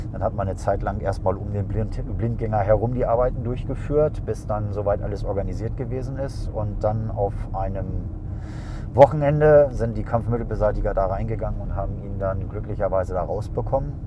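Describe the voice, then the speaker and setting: Noticeable background noise and audible room echo behind a man's fairly quick pace. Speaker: airport traffic duty officer. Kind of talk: casual interview. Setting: in a car on the apron.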